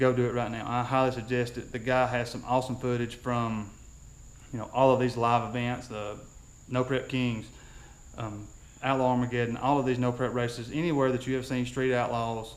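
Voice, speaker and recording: The intonation stays flat and monotone, with audible echo from the room. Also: man. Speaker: YouTuber on drag racing. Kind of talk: casual vlog outro with promotions. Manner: fast.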